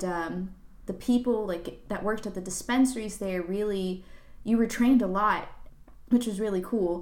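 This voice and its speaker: A woman with a fairly high pitch and ordinary pitch variation speaks at a moderate pace, with audible room echo. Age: 20s. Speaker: tech professional. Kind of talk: casual chat.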